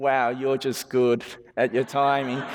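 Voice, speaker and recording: This man has an Australian accent and a fairly high pitch. He speaks at a moderate pace. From Western Sydney, Australia. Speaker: genetics researcher. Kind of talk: public lecture. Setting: stage with audience.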